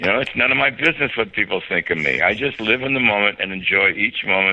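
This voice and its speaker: This man's speech races along at a very fast pace. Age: 70s. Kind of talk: casual interview.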